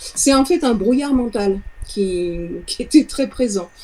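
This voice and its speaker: Lively intonation at a fairly slow pace. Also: woman. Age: 60s. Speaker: sound therapist, former music teacher. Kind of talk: client testimonial interview. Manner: halting, with repetitions.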